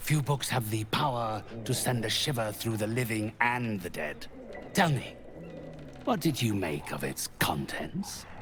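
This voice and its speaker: A man does a put-on character voice at a medium pitch and a fairly slow pace. Clear background noise runs underneath. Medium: video game. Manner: slow, ominous, measured.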